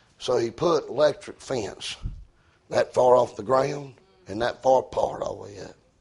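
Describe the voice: With a medium pitch, a slightly mellow tone, a slightly husky edge and vocal fry, a man speaks at a moderate pace with ordinary pitch variation.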